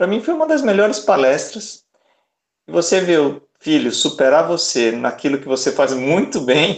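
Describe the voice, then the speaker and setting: This man's voice sits high and moves with lively intonation. He talks at a moderate pace. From Salvador, Bahia, Brazil. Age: 40s. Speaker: origami artist and speaker. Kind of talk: casual chat. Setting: video call.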